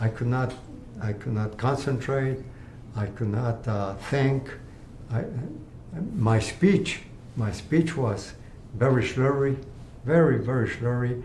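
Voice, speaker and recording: A somewhat breathy man's voice at a very slow pace, with long, frequent pauses and audible room echo. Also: medium pitch for a man, ordinary pitch variation. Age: 80s+. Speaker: cancer patient. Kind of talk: interview testimony. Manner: halting.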